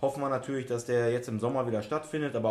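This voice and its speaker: This man has an ordinary speaking voice with medium pitch and fairly even intonation. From Essen, Ruhr area, Germany. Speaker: youth football coach. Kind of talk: casual chat.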